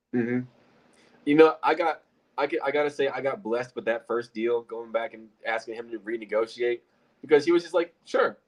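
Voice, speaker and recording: With an American accent, a man uses a normal speaking voice at medium pitch, talking at a fairly quick pace with ordinary pitch variation and big swings in loudness. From Illinois. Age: 20s. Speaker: real estate investor. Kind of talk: casual chat.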